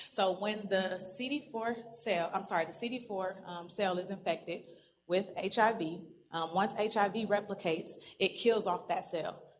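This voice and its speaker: There is audible room echo around a woman's voice. Her pitch is medium and her intonation fairly even. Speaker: pharmacy presenter. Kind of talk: lecture. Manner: fast.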